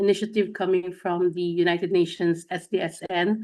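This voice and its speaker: Against a quiet background, a woman speaks at a moderate pace and medium pitch with monotone, flat intonation. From Philippines. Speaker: teacher and mentor. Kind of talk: podcast interview.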